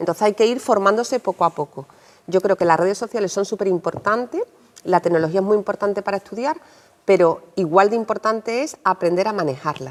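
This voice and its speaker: With an Andalusian accent, a woman speaks at a medium pitch and a fairly quick pace, her intonation lively. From Andalusia, Seville. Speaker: journalist and writer. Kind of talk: interview. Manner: explanatory, addressing children.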